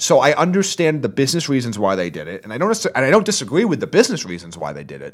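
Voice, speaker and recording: A man with a fairly high, vocal-fry voice races along at a very fast pace with hardly any pauses, very wide pitch swings and big swings in loudness. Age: 20s. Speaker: wrestling podcast co-host. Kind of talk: casual chat. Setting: studio.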